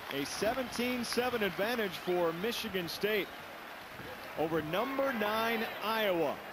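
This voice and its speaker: A man talks at a very slow pace in a high pitch with ordinary pitch variation. Crowd noise fills the background. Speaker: play-by-play sports commentator. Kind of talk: live sports commentary. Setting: stadium broadcast booth.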